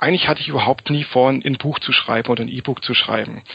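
Noticeable background noise behind a medium-pitched male voice. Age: 30s. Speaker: self-publishing author and PR consultant. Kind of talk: interview.

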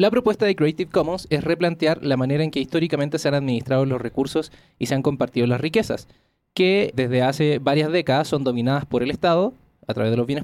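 A man speaks very fast at a fairly high pitch, with ordinary variation in his pitch. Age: 30s. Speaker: podcast host. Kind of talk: scripted narration; casual interview chat. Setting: studio.

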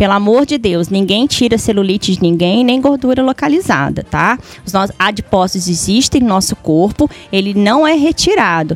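Music plays in the background as a woman with a medium pitch talks at a moderate pace with lively intonation. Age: 40s. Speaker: beautician. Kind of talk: casual chat.

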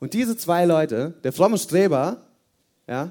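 A man with a dark, mellow tone moves through very wide pitch swings. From Hesse, Germany. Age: 20s. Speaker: youth service speaker. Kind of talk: sermon. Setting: church youth service with audience.

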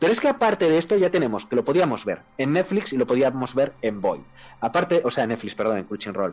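Speaking at a very fast pace, this man has a fairly high pitch. His pitch swings are very wide. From Spain. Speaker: podcast co-host. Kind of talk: casual chat.

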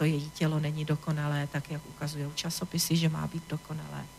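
Somewhat breathy, the voice moves at a moderate pace with monotone, flat intonation. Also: woman. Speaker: tantra teacher. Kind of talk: radio interview. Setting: radio studio.

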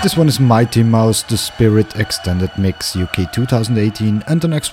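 Through noticeable background noise, a man with a medium pitch speaks with lively intonation. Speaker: radio DJ. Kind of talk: radio DJ patter. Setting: radio studio broadcast. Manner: brisk, smooth presenter delivery; upbeat, laid-back and friendly.

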